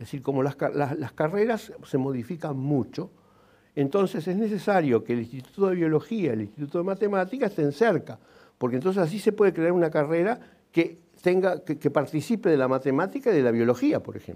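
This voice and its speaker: A man with a dark, mellow tone speaks at a fairly quick pace, his pitch swinging very widely. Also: fairly high pitch for a man. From Uruguay, Montevideo; Uruguay. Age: 70s. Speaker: engineer and writer; interviewee. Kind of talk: TV interview. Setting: TV studio. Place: studio. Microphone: lapel.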